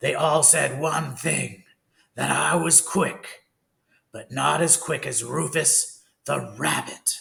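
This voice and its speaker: A man puts on a raspy character voice at a fairly high pitch. He speaks at a very slow pace. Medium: read story. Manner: cold, menacing.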